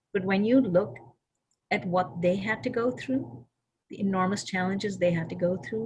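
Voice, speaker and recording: A woman speaks with lively intonation. Vocal fry runs through her voice. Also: medium pitch for a woman, moderate pace. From Kashmir. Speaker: activist and author, guest speaker. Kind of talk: discussion answer with storytelling. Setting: video call.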